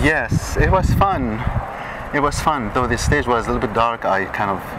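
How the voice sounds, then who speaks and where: Against noticeable background noise, a man talks at a moderate pace in a medium pitch. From Saudi Arabia. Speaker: Middle Eastern dancer. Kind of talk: interview answer. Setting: outdoors.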